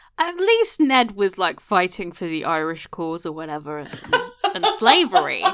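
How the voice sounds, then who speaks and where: Loudness swings widely at a moderate pace, with noticeable background noise behind it. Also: woman. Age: 30s. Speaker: podcast co-host. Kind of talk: casual chat.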